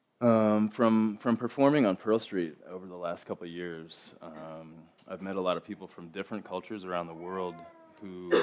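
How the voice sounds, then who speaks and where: Big swings in loudness at a moderate pace. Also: man, very deep, low pitch for a man. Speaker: didgeridoo maker and musician. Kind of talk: TEDx talk. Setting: stage with audience. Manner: mumbling; monotone.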